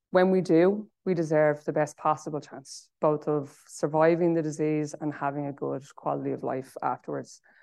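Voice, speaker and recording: With hardly any pauses, a woman with an Irish accent speaks in a very deep, low voice of dark, mellow tone and fairly even intonation. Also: moderate pace. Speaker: charity chief executive. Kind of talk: conference talk; panel discussion.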